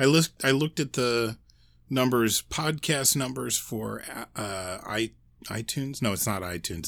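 A man with an ordinary speaking voice, medium pitch and lively intonation, at a fairly slow pace, on a very clean recording with a silent background. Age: 40s. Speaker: podcast co-host. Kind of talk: casual chat.

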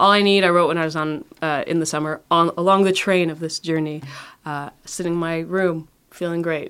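The speaker has a Canadian accent and a monotone, flat intonation. The pace is moderate. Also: woman, fairly low pitch for a woman. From Montreal, Canada, Trinidadian parents. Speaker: singer-songwriter. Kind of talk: interview.

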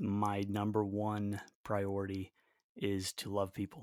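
The speaker has an American accent, heard in a very clean recording with a silent background. The sound is dry and close, with no echo. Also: man. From US South, Raleigh, North Carolina. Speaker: guitarist and musician. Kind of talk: casual interview.

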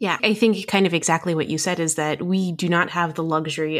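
In a very clean recording with a silent background, a woman talks at a fairly quick pace with an American accent. Hers is an ordinary speaking voice, fairly low in pitch. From New Jersey, US. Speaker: emergency physician and medical educator. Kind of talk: podcast discussion.

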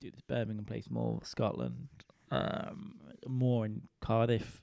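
A man with a British accent speaks at a fairly low pitch in a dark, mellow tone. The recording is very clean, with a silent background. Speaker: comedian and podcaster. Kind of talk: casual solo monologue. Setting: lying in a dark cold room at home. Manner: rambling, laid-back.

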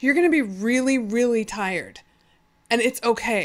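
A woman with an American accent speaks at a high pitch and a moderate pace, with ordinary pitch variation. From California (Fresno). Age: 40s. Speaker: beach volleyball player and blogger. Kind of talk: casual chat. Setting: studio, in person.

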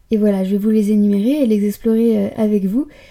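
A woman's dark, mellow tone at a medium pitch, flat and monotone, at a moderate pace. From Paris, France. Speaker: podcaster and blogger. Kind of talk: solo podcast monologue.

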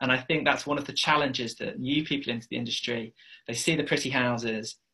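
A man with an English accent talks at a fairly quick pace, his medium-pitched voice bright and sharp in tone with fairly even intonation. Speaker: property investor. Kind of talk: interview.

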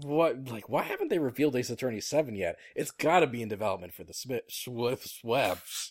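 A man's normal speaking voice at a medium pitch, with ordinary pitch variation, a fairly quick pace, hardly any pauses and big swings in loudness. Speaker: podcast host. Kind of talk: casual chat.

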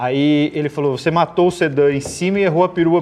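Speech races at a very fast pace over noticeable background noise. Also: man. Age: 40s. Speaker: automotive TV and YouTube presenter. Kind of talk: casual chat.

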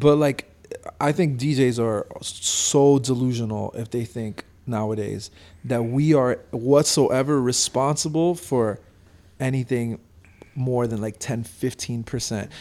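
At a very slow pace, a man speaks in a medium pitch with ordinary pitch variation and a dark, mellow tone. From Miami (Hialeah) and France. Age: 20s. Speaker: DJ and record store owner. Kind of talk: casual chat.

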